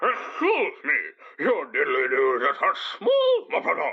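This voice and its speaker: In a put-on character voice, a man pushes his pitch extremely high. His delivery is fairly slow. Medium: comedy sketch. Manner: halting, broken phrasing.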